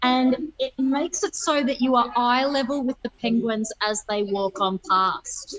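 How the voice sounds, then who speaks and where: Loud and high-pitched, a woman talks fairly slowly with lively intonation and hardly any pauses. The sound is dry and close, with no echo. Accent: Australian. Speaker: nature park ranger. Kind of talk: live field report. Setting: video call from underground viewing area.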